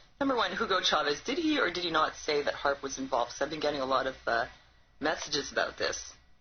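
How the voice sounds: At a fast pace, a woman with a low pitch speaks with lively intonation.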